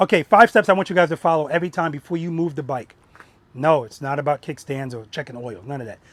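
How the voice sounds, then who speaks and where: At a very fast pace, a man talks in a fairly high pitch, the sound dry and close with no echo. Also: ordinary pitch variation, big swings in loudness. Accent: New York. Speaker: motorcycle riding instructor. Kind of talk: outdoor group riding lesson.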